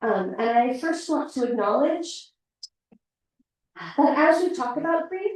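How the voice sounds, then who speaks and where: Soft-spoken and with a West Coast US accent, a woman talks at a fairly slow pace. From US Pacific Northwest. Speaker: hospital chaplain. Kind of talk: talk to a community group. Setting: room with live audience, also streamed online.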